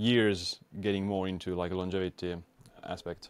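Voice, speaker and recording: In an Estonian accent, a man with a very deep, low pitch speaks at a moderate pace in a flat monotone, in a dry recording with no echo. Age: 20s. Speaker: biohacker and YouTuber. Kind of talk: interview. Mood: relaxed, reflective. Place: home room. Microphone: studio mic.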